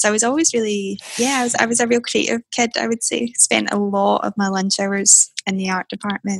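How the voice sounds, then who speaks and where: Speaking fairly quickly in a Scottish accent, a woman has a medium pitch, a somewhat breathy voice and ordinary pitch variation. The sound is dry and close with no echo. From Scotland, Airdrie. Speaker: tech entrepreneur. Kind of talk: interview. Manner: soft-spoken.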